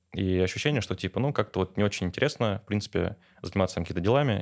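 A man's fairly low voice at a very fast pace, with ordinary pitch variation, in a very clean recording with a silent background. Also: dry, close sound with no echo. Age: 20s. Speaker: business coach and entrepreneur. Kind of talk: casual interview chat.

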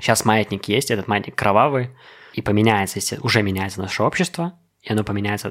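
The speech moves at a fairly quick pace in an unremarkable speaking voice. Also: man. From Belarus. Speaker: podcast guest. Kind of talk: casual chat.

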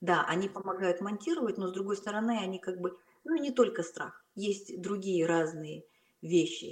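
In a normal speaking voice, a woman talks at a fairly slow pace and medium pitch with lively intonation. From Kazakhstan, Almaty. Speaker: film director. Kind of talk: casual interview. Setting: call.

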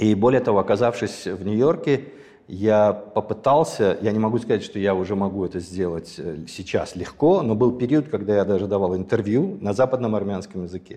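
A man's dark, mellow tone, fairly low in pitch, at a moderate pace over a quiet background. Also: ordinary pitch variation. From Azerbaijan (Sumgait), Armenian family. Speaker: ballet impresario. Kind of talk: casual interview chat.

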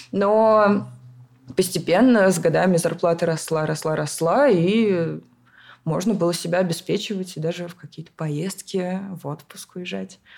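A woman's plain, everyday voice, fairly low in pitch, with ordinary pitch variation and a fairly slow pace. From Moscow region, Russia. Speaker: event organizer. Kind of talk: casual chat.

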